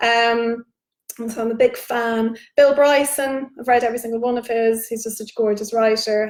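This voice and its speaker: At a moderate pace, a woman speaks with fairly high pitch. Her intonation stays monotone and flat. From Ireland, Dublin. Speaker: novelist. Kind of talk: virtual book launch Q&A. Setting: livestream. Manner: casual, chatty with many fillers.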